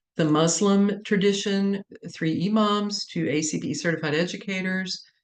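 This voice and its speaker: A woman speaks with ordinary pitch variation. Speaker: chaplaincy researcher. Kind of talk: lecture.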